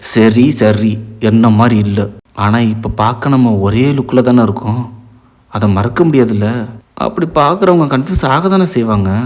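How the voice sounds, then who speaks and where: A strained, put-on character voice moves at a fairly slow pace with lively intonation. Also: man, medium pitch for a man. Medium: read story. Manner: calm, restrained.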